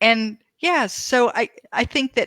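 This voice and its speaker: A woman speaks with a bright, sharp tone, fairly high in pitch, and a touch of vocal fry. The sound is dry and close, with no echo. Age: 60s. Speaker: author. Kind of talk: casual chat.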